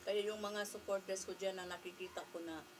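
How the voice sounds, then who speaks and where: A woman speaks at a fairly low pitch with a Filipino accent. Her pace is moderate, and there is noticeable background noise. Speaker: vlogger. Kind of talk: casual vlog talk to camera. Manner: halting.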